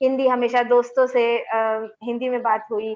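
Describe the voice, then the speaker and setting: A woman speaks with a Bengali accent. The background is quiet. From India, Delhi. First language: Bengali (speaking Hindi). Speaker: linguist, assistant professor. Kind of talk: webinar panel discussion.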